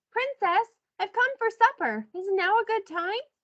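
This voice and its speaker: A woman's squeaky, extremely high-pitched put-on character voice at a moderate pace. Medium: read story. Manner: polite, gentle.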